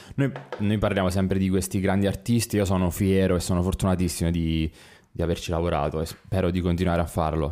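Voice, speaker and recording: With a dark, mellow tone, a man talks at a very fast pace in a very deep, low pitch, keeping his loudness very even and his intonation fairly even. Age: 30s. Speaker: photographer. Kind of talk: casual interview.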